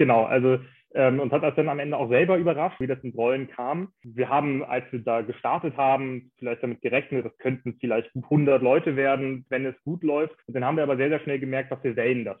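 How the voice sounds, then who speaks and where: This man has an unremarkable speaking voice at a medium pitch, with fairly even intonation. He goes at a fairly quick pace with hardly any pauses. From Rügen, northeastern Germany. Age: 20s. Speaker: local politician and activist. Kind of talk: interview. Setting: video call.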